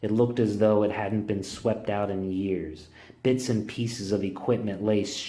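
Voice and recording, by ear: A natural voice reads the text aloud, keeping the intonation fairly level.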